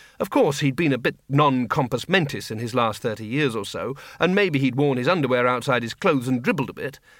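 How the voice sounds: A natural reading voice, its pitch shifting in ordinary ways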